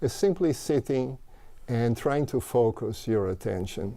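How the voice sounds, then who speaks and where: This man has a medium-pitched voice with a Portuguese accent and lively intonation. He talks at a moderate pace on a very clean recording with a silent background. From Brazil. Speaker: mindfulness teacher and author. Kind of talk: interview. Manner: halting.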